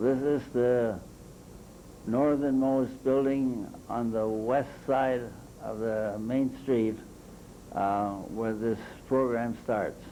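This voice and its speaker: In an American accent, a man speaks at a very slow pace with long, frequent pauses, fairly even intonation and audible room echo. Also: medium pitch for a man. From Michigan, US Midwest. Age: 80s+. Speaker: local historian. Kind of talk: slide presentation. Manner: halting, with fillers.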